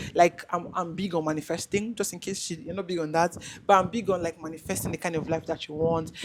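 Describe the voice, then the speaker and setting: Over noticeable background noise, a woman with a fairly low pitch speaks very fast in fairly even intonation. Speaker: content creator. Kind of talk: casual chat. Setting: video call. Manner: halting.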